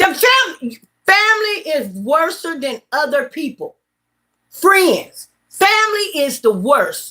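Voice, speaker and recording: A woman speaks at a fairly slow pace with a Southern US accent. Her tone is bright, sharp and animated, with very wide pitch swings. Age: 50s. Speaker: vlogger. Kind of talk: casual chat. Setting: livestream.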